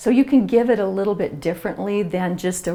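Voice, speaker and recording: Noticeable background noise runs under a woman whose intonation stays fairly even. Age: 60s. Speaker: author. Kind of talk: interview.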